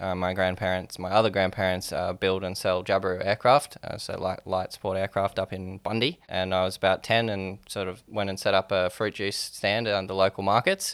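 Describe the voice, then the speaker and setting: Here a man with an Australian accent speaks at a moderate pace, with hardly any pauses. His fairly low, monotone, flat voice comes through a very clean recording with a silent background. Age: 20s. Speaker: startup founder. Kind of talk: interview.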